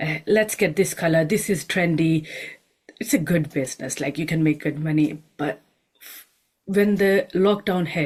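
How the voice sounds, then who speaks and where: Somewhat breathy and with a non-native accent, the voice moves at a moderate pace with ordinary pitch variation and big swings in loudness. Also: woman, fairly low pitch for a woman. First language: not English. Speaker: homeopath and nutritionist. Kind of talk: panel discussion. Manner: hesitant, with fillers.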